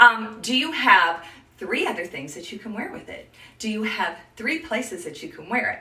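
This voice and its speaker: With an animated tone, a woman speaks at a moderate pace in a fairly high voice, her pitch swinging very widely and her loudness in big swings, amid noticeable background noise and audible room echo. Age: 60s. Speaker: image consultant. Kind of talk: live stream tutorial.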